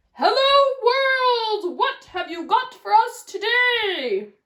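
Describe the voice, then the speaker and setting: Loud and at a very slow pace, a woman performs a put-on character voice at an extremely high pitch with lively intonation. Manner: loud, cheerful greeting.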